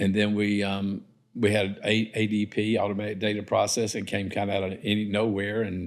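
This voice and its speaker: Speaking at a fairly quick pace, a man with a South Carolina accent keeps a fairly low pitch and a monotone, flat intonation. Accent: South Carolina Southern. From US South. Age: 70s. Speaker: developer and entrepreneur. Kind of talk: casual interview. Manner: halting, many fillers.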